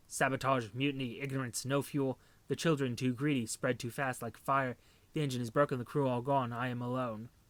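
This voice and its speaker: Putting on a character voice, a man talks fairly quickly in a flat monotone at medium pitch, with hissing in the audio. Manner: hissing, bitter.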